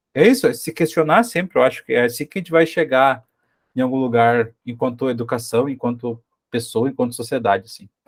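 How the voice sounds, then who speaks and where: In a southern Brazilian accent, a man speaks at a medium pitch and a fairly quick pace. The recording is very clean, with a silent background. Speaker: teacher, study group organizer. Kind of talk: study group discussion. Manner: halting, many repetitions.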